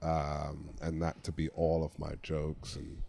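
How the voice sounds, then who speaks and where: Very deep and low in pitch, a man speaks with vocal fry. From England, London. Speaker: former football player turned comedian. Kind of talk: casual chat.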